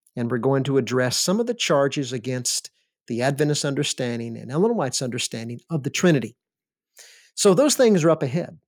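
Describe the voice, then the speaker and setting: A man with an unremarkable speaking voice talks at a fairly quick pace and a fairly high pitch, with lively intonation. The recording is very clean, with a silent background. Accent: American. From US South, Alabama. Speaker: seminary professor and podcast host. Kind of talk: lecture-style monologue.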